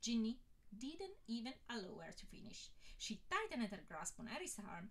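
Reading aloud in a voice that sounds natural

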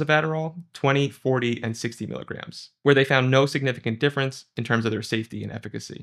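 A man speaks at a fairly quick pace with fairly even intonation against a quiet background. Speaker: presenter. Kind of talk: lecture. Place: studio.

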